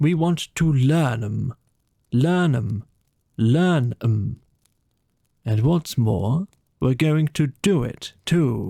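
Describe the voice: A man puts on a character voice at medium pitch, with a dark, mellow tone, vocal fry and lively intonation. He goes at a very slow pace with long, frequent pauses, in a dry, close sound with no echo.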